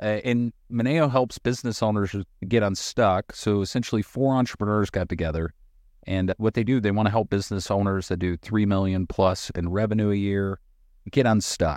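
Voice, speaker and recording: Against a quiet background, a man with an American accent speaks in an unremarkable speaking voice at fairly low pitch and moderate pace, the sound dry and close with no echo. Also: ordinary pitch variation. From North Carolina (Appalachian mountains). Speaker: podcast host and contractor. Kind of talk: casual chat.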